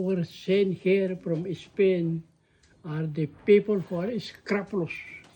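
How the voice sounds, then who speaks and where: A man is speaking here. His tone is dark and mellow. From Philippines, Ilocos Sur. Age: 80s+. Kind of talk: interview answer.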